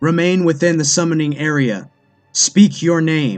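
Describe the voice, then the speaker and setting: Over faint background music, a man uses a put-on character voice with a fairly high pitch at a moderate pace. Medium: read story. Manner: trembling, forcing false confidence.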